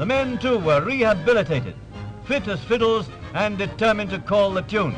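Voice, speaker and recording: Over music in the background, a man with a British accent talks in a high voice with lively intonation. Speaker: newsreel narrator. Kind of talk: wartime newsreel narration. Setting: vintage newsreel audio. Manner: brisk, urgent, authoritative.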